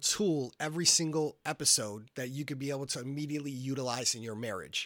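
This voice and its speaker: An unremarkable speaking voice with an American accent talks at a fairly quick pace with ordinary pitch variation, on a very clean recording with a silent background. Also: man. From Massachusetts. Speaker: pastor and marriage podcast co-host. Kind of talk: casual chat.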